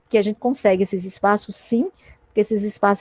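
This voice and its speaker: A woman at a medium pitch speaks with fairly even intonation in a dry, close sound with no echo. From Acre and Paraíba, Brazil. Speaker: teacher. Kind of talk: panel discussion. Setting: online livestream.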